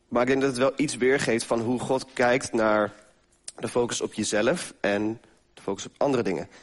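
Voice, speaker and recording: Speaking at a moderate pace, a man uses a plain, everyday voice with ordinary pitch variation. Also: medium pitch for a man, big swings in loudness. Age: 20s. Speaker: lay preacher. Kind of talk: sermon.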